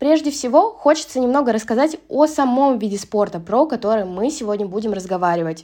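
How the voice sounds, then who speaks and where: Lively in intonation and fairly quick with hardly any pauses, a woman talks at a fairly high pitch in a plain, everyday voice. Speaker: student podcast host. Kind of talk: interview. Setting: studio.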